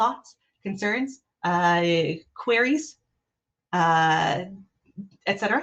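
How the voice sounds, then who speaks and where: Lively intonation marks a woman's speech at a fairly slow pace. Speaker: behavioural analyst leading an improv workshop. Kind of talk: online workshop presentation. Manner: casual, filler-heavy.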